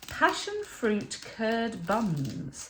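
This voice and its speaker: A woman speaks with a British accent. Audible room echo and noticeable background noise fill the recording. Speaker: budget food vlogger. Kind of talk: casual vlog haul.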